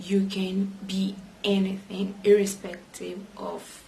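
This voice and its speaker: A woman with a medium pitch speaks in a monotone, flat intonation, with audible room echo and noticeable background noise. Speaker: vlogger. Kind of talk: personal vlog monologue. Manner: hesitant with frequent fillers.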